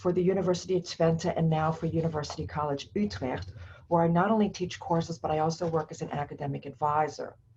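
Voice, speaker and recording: Her voice is fairly low for a woman, somewhat breathy, with a dark, mellow tone. She speaks with an American accent and ordinary pitch variation. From United States. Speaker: professor. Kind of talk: lecture. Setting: recorded alone to camera.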